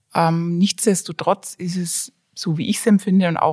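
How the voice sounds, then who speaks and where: Somewhat breathy and fairly low in pitch, a woman speaks at a fairly slow pace with fairly even intonation. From Franconia, Germany (small town near Nuremberg). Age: 40s. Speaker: designer and hobby brewer. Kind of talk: casual interview.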